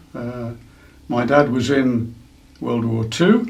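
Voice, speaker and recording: A man with an East Midlands accent speaks at a medium pitch with fairly even intonation, and audible room echo surrounds his voice. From England, East Midlands (Derbyshire/Nottinghamshire). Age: 70s. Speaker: museum curator and former observer corps volunteer. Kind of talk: interview. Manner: hesitant, many fillers.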